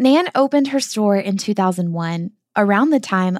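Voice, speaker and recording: A woman's medium-pitched voice with a Southern US accent, lively intonation and a moderate pace, in a very clean, dry, close recording with a silent background and no echo. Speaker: podcast host. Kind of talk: interview, casual travel podcast.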